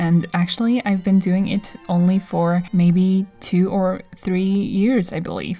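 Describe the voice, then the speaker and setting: A woman of medium pitch speaks at a fairly slow pace while music plays in the background. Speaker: artist and video creator. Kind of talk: voice-over commentary. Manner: casual, rambling.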